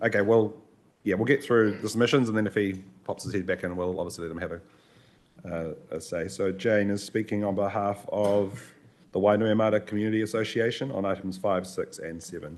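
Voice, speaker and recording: Here a man speaks with a New Zealand accent at a fairly low pitch. His pace is fairly quick and his intonation fairly even. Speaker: committee chair. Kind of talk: chairing a council meeting.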